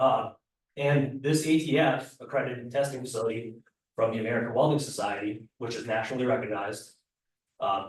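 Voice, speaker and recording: A man's medium-pitched, somewhat breathy voice moves at a fairly quick pace with ordinary pitch variation. Audible room echo is present. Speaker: welding program coordinator and instructor. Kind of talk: committee meeting presentation. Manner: fast.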